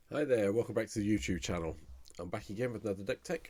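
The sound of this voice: In a put-on character voice, a man speaks at a very fast pace, raspy and croaky, with a fairly low pitch.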